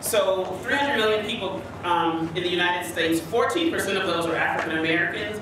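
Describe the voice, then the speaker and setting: The speech moves at a moderate pace with ordinary pitch variation. Strong room echo and noticeable background noise are present. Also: woman. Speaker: panelist. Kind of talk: panel discussion remarks. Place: hall.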